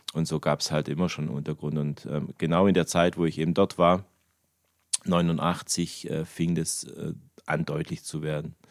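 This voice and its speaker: A man's very deep, low voice, flat and monotone, at a moderate pace. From Germany. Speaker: church member, bass player. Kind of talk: testimony. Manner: halting.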